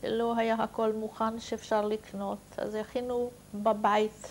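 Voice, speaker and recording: The woman's fairly high voice stays monotone and flat as she speaks at a very slow pace. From Hungary. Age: 60s. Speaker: Holocaust survivor. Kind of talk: testimony. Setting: recorded interview.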